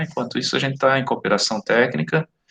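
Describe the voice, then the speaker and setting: A man's voice is heard here. It has a medium pitch. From southern Brazil, Santa Catarina. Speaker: teacher of occupational safety. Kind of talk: online class lecture. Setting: live online class, recorded. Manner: casual, conversational.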